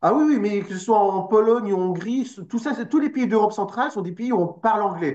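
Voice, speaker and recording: Fairly quick talk in a Parisian accent, hardly any pauses, ordinary pitch variation. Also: man, high pitch for a man. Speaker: political party representative. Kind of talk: interview.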